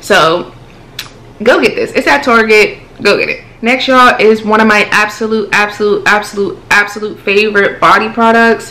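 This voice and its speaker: Faint music plays behind a woman with a fairly high pitch, ordinary pitch variation and an animated tone. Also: moderate pace. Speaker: beauty youtuber; beauty vlogger. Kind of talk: casual product review vlog. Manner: chatty, animated. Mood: relaxed, chatty. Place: home room.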